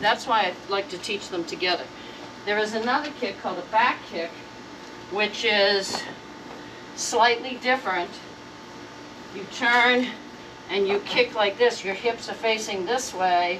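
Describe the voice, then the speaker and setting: With noticeable background noise behind her, a woman speaks at a fairly high pitch with ordinary pitch variation and long, frequent pauses. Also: fairly slow pace. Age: 70s. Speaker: martial arts instructor. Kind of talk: tutorial. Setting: outdoors. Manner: casual, conversational with hesitations.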